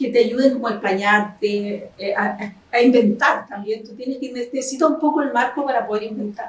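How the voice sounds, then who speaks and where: A woman talks fairly quickly in a high voice. Her pitch varies in an ordinary way. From Chile, Concepción. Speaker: historian and novelist. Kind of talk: interview.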